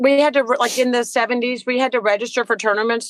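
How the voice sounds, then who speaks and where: In a plain, everyday voice with an American accent, a woman speaks at a fairly high pitch and a fairly quick pace with fairly even intonation, the sound dry and close with no echo. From Virginia, Petersburg area. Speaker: tennis coach. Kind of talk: casual interview.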